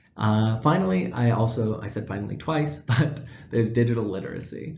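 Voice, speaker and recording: The speaker is a man with a medium pitch and ordinary pitch variation. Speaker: student teacher. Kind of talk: class presentation. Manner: fast.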